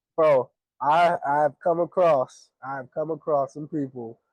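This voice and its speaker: A man with an ordinary speaking voice and an American accent talks at a fairly slow pace and fairly high pitch with ordinary pitch variation, the sound dry and close with no echo. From US West Coast, Pasadena, California. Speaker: podcast co-host. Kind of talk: casual chat.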